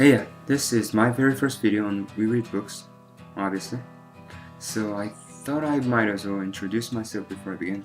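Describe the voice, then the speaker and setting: Over music in the background, a man talks at a moderate pace. His pitch is fairly low with ordinary variation. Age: 20s. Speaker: book reviewer. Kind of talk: casual book review to camera.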